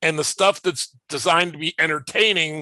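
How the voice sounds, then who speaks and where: A man with a fairly high pitch, bright, sharp tone and ordinary pitch variation at a moderate pace, in a dry, close sound with no echo and a quiet background. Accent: American. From US Midwest (northern Illinois, southern Minnesota). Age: 60s. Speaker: comics publisher. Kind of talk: interview. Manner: halting, repeats words.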